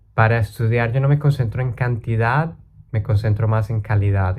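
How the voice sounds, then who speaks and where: Dark and mellow in tone, a man's somewhat breathy voice runs fairly low in pitch at a moderate pace. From Colombia. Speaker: language learning YouTuber. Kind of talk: casual talk to camera.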